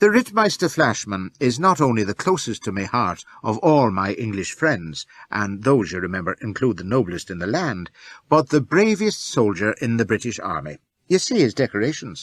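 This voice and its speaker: A man puts on a husky character voice at a medium pitch, with very wide swings in pitch. He speaks at a moderate pace, and the sound is dry and close with no echo. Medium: read story. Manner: imperious.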